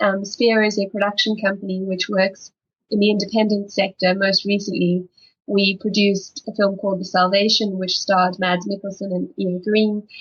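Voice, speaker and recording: In a South African accent, a woman speaks in a somewhat breathy, medium-pitched voice with monotone, flat intonation. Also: moderate pace. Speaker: film development executive. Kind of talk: panel discussion.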